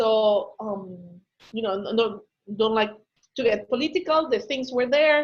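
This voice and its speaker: With a Spanish accent, a woman talks at a fairly slow pace with long, frequent pauses. Her fairly high voice has lively intonation. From Ecuador. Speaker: business consultant. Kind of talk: webinar Q&A.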